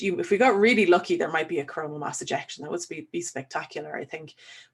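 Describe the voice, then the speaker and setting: A woman speaks with an Irish accent. Her pitch is medium. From Ireland. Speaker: solar physicist. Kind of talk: online webinar Q&A, explaining science. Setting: webinar.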